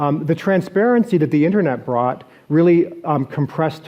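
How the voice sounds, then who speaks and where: Quick-paced and lively in intonation, a man talks in a plain, everyday voice at a fairly quick pace. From Canada, Toronto. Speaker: venture investor, conference speaker. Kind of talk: keynote presentation. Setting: stage with audience and live translator. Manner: frequent fillers and restarts.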